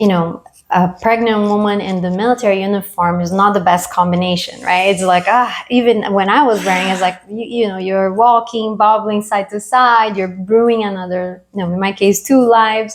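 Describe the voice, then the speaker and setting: A woman at medium pitch with a Latin American accent, at a moderate pace with hardly any pauses and fairly even intonation. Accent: Latin American accent, still noticeable. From Brazil. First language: Portuguese or Spanish. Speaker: military veteran. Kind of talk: interview.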